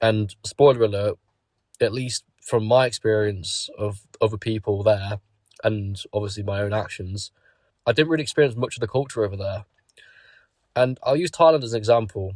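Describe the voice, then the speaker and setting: A man speaks at a moderate pace and medium pitch with ordinary pitch variation, his voice somewhat breathy and broken by long, frequent pauses. The recording is very clean, with a silent background. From Britain. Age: 20s. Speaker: YouTuber. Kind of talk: casual monologue.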